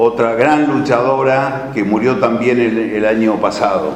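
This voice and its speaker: A man speaking fairly slowly, with audible room echo and noticeable background noise. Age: 60s. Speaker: author and political speaker. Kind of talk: lecture. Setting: talk for a study centre's course.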